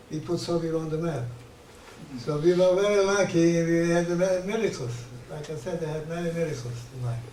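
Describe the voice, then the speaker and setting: Amid noticeable background noise and audible room echo, a man speaks fairly quickly at a fairly high pitch with ordinary pitch variation. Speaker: Holocaust survivor. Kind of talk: interview testimony. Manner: halting, repetitive.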